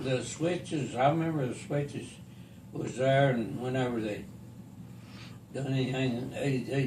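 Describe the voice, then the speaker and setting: There is noticeable background noise as a man speaks at a fairly slow pace. His intonation is fairly even, with long, frequent pauses. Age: 80s+. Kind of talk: interview answer.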